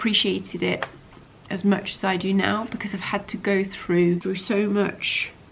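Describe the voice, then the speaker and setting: A woman with a British accent, medium pitch, and a moderate pace, over noticeable background noise. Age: 40s. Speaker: doctor and vlogger. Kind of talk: casual vlog talk to camera. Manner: animated.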